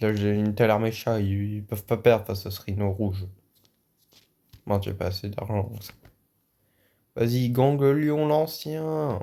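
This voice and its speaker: At a fairly slow pace, the speaker's tone is dark and mellow. Pitch variation stays ordinary. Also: man, fairly low pitch for a man. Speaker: gaming YouTuber. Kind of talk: gameplay commentary. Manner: loud; animated.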